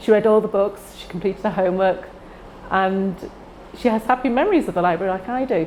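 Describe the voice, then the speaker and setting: A woman in a Manchester accent at medium pitch, with a moderate pace and ordinary pitch variation. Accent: Greater Manchester English. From northern England, Heywood near Manchester. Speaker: library user. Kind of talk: personal testimony.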